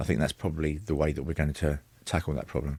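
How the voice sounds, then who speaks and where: In a very clean recording with a silent background and a dry, close sound with no echo, a man talks very fast with vocal fry. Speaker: academic interviewee. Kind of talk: radio interview answer.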